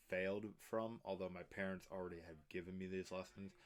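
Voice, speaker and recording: This man has an American accent and a very deep, low pitch. His intonation is monotone and flat. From Pennsylvania, US. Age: young. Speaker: YouTuber. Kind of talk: personal vlog monologue. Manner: unscripted, some stuttering and ums.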